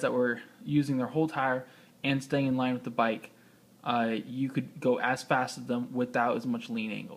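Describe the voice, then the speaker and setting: A man speaks at a medium pitch, mumbling. His pace is moderate. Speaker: motorcycle rider. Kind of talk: casual tutorial. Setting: indoors. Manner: halting.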